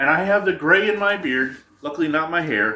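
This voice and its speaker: Lively intonation and a bright, sharp tone with an American accent. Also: man. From upstate New York, Adirondacks. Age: 40s. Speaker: YouTuber. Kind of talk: casual vlog monologue.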